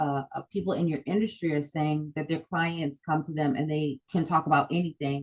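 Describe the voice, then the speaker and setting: This woman has a very deep, low pitch. She talks at a fairly quick pace. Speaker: interviewer. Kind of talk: casual interview chat. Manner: loud.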